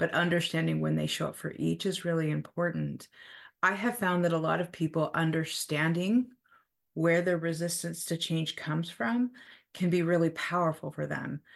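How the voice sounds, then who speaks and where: A woman with an ordinary speaking voice, fairly low in pitch, at a moderate pace with ordinary pitch variation and a quiet background. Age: 40s. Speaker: therapist. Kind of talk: casual chat.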